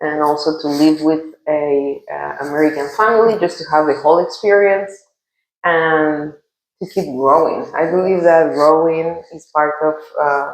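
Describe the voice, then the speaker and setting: A woman with a Guatemalan accent speaks fairly slowly at a very deep, low pitch with fairly even intonation. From Guatemala City. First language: Spanish. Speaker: international teacher. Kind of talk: casual interview chat. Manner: halting.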